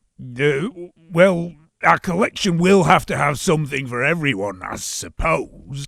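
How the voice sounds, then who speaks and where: Putting on a character voice, a man sounds raspy at a fairly high pitch and moderate pace. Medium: short film. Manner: formal, slightly pompous.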